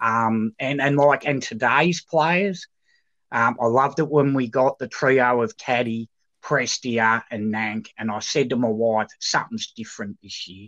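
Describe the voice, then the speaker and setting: A man with an Australian accent, medium pitch, ordinary pitch variation and a fairly slow pace, in a dry, close sound with no echo and a quiet background. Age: 50s. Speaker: football club supporter. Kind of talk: casual chat.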